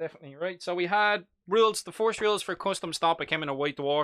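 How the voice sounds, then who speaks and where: A man speaks at a fairly quick pace in a high, bright, sharp voice with ordinary pitch variation. The recording is very clean and silent behind him, dry and close with no echo. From Ireland, Dublin. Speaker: live-stream hobby host. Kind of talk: live stream chat about miniature wargaming. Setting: live stream in front of a green screen. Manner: casual, chatty.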